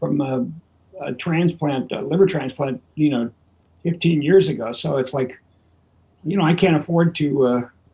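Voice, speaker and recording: A man's fairly high, somewhat breathy voice with a dark, mellow tone, ordinary pitch variation and long, frequent pauses. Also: moderate pace. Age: 70s. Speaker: veteran touring bassist. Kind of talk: casual interview chat. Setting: audio-only video call.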